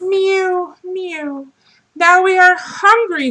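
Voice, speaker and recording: A woman uses a squeaky put-on character voice pitched extremely high. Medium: read story.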